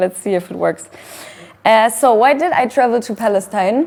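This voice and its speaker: A woman with a German accent, fairly high pitch, and fairly slow pace over noticeable background noise. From Germany. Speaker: activist. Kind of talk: talk with slides. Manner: hesitant.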